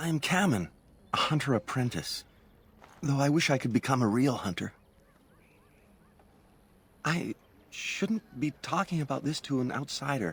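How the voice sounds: Putting on a character voice, a man speaks at medium pitch in a fairly bright tone with a slightly husky edge. His intonation is lively, his pace fairly slow, with long, frequent pauses.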